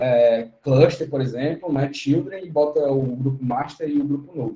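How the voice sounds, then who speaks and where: A dark, mellow, somewhat breathy voice at a fairly slow pace with fairly even intonation. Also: man, fairly high pitch for a man. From Brazil, Fortaleza (Ceará). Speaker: tech speaker, DevOps engineer. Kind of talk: online tech talk tutorial.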